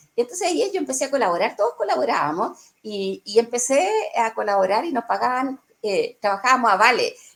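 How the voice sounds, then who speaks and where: A woman with a Chilean accent, very wide pitch swings and a fairly quick pace. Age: 60s. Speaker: journalist. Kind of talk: interview answer.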